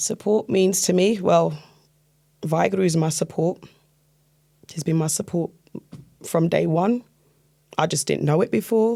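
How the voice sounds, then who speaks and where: With vocal fry and a dark, mellow tone, a woman speaks at a moderate pace and ordinary pitch variation, leaving long, frequent pauses. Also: fairly low pitch for a woman. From London, England. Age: 40s. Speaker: Sikh convert sharing her faith story. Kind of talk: interview testimony.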